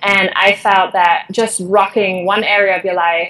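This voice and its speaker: A woman with a German accent at a moderate pace, very clean recording with a silent background. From Germany. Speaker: conference organizer and behavioral change coach. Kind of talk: interview.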